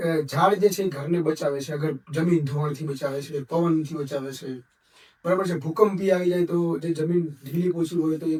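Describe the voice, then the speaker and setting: With fairly even intonation and a fairly high pitch, a man talks in an ordinary speaking voice. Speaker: video interviewer. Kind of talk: interview.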